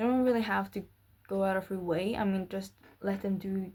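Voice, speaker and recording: A woman with a non-native accent talks at a moderate speed. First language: not English. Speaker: vlogger. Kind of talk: casual monologue. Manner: halting, with fillers and repetitions.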